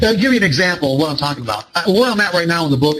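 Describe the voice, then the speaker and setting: A man with an American accent talks amid noticeable background noise. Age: 60s. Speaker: trading psychology author and speaker. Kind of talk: seminar talk. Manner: halting, many repetitions and fillers.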